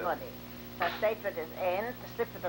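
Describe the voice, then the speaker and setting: A woman at a fairly quick pace, over noticeable background noise. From Poland. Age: 80s+. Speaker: immigrant grandmother. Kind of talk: interview answer. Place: home room. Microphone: old recording.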